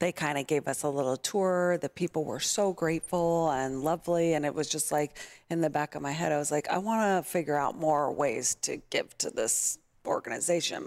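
A woman's very deep, low voice with a Californian accent at a moderate pace, on a very clean recording with a silent background. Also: ordinary pitch variation, dry, close sound with no echo. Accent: American (Californian). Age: 30s. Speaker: nonprofit kindness project founder. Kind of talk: casual interview.

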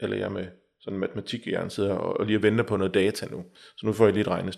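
The recording is very clean, and the background is silent. A man races along at a very fast pace. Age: 40s. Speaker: stress counsellor. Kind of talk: interview. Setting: office.

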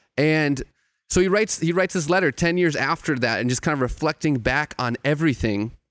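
Using an ordinary speaking voice, a man talks in a fairly high pitch at a fairly quick pace, with ordinary pitch variation and very even loudness, in a very clean, silent recording that is dry and close with no echo. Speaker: theologian and hip-hop writer. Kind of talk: casual chat.

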